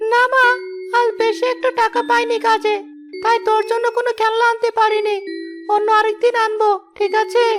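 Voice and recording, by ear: A cartoonish character voice holds a very even loudness over loud background noise. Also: woman, moderate pace.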